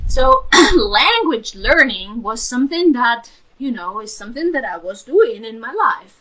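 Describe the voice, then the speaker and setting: Speaking with a non-native accent, a woman keeps a fairly slow pace. Her high-pitched voice makes very wide pitch swings. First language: not English. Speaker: spiritual healer and mentor. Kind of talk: live stream talk. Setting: live stream. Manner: hesitant, many fillers.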